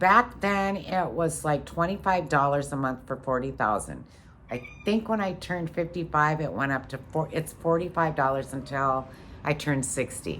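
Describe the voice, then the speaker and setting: Vocal fry runs through this woman's very deep, low voice as she talks at a moderate pace. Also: lively intonation. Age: 50s. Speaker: vlogger. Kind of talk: casual monologue. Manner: halting.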